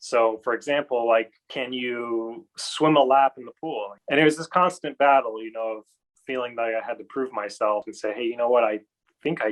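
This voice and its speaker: The speaker has an ordinary speaking voice with an American accent. The pace is moderate and the pitch variation ordinary. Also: man. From California. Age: 30s. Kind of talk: personal testimony.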